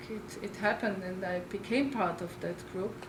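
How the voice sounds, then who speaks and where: A woman speaks at a medium pitch and a moderate pace with fairly even intonation. Audible room echo and noticeable background noise fill the recording. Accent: strong Austrian. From Austria, Linz. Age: 60s. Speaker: oral historian. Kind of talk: lecture. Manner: halting, with repeated words.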